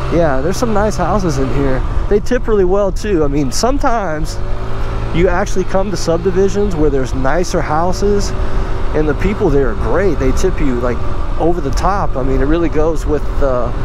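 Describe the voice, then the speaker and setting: The sound is dry with no echo, though background noise is noticeable. A man talks at a moderate pace and a very even loudness. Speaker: scooter rider vlogger. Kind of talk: casual vlog chat. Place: motorbike. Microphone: helmet.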